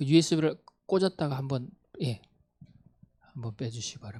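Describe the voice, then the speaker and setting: A man speaks at a fairly quick pace in a medium pitch, his voice somewhat breathy with a dark, mellow tone and lively intonation. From Gangwon Province, South Korea (Gangneung). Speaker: missionary. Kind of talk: mission report talk.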